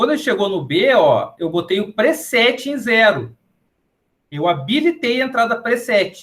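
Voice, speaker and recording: Intonation is lively while the delivery stays fairly slow. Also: man. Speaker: professor. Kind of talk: lecture.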